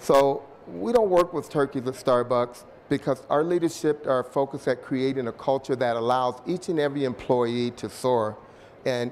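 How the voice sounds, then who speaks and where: Here a man speaks at medium pitch. His pitch varies in an ordinary way. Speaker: corporate speaker. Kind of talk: conference presentation. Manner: fast; animated.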